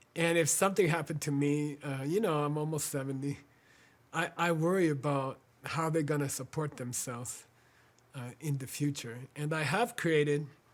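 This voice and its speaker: Here a man talks with an American accent at a fairly high pitch. He keeps a moderate pace with ordinary pitch variation. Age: 60s. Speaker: spiritual teacher and organization founder. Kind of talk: fundraising appeal. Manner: halting, many fillers.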